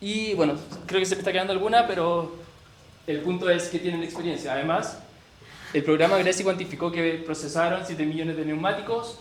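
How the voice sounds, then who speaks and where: Fairly quick and high-pitched, a man with a Chilean accent speaks with fairly even intonation amid audible room echo and noticeable background noise. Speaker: researcher presenting at a workshop. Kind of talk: presentation. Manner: fast; halting with self-corrections.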